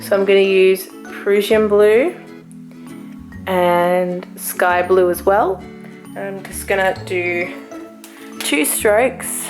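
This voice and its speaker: With music in the background, a woman speaks in an Australian accent at medium pitch, her pitch varying in an ordinary way. Her pace is very slow, with long, frequent pauses. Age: 20s. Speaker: hand lettering artist. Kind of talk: casual product review to camera.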